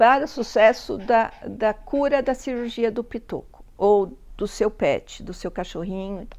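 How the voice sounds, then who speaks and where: A fairly high-pitched woman at a fairly slow pace with hardly any pauses, ordinary pitch variation and big swings in loudness, on a very clean recording with a silent background. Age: 60s. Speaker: pet vlogger. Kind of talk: casual vlog talk.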